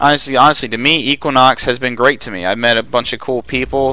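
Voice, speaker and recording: A man at medium pitch, talking at a fairly quick pace over noticeable background noise. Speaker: gaming commentator. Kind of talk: gameplay commentary, casual monologue. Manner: casual, rambling with filler words.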